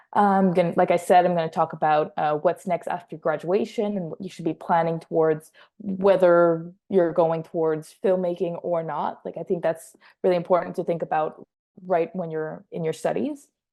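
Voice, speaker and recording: A woman with a slight French Canadian accent speaks at a moderate pace. Her fairly low voice keeps fairly even intonation. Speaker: assistant film editor. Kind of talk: workshop presentation.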